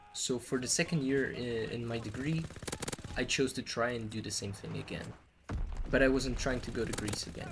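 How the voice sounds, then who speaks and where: Noticeable background noise behind a man speaking at a medium pitch. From Portugal. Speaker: hospitality worker and vlogger. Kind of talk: personal vlog storytelling.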